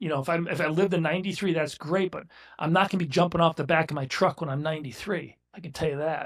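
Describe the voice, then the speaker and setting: A man's fairly high-pitched voice at a very fast pace, with fairly even intonation, in a very clean recording with a silent background. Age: 60s. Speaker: business owner. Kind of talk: casual chat.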